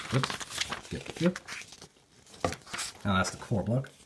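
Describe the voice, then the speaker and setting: The speaker goes at a very slow pace. Background noise is noticeable. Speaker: model kit hobbyist YouTuber. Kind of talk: unboxing video. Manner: casual, conversational.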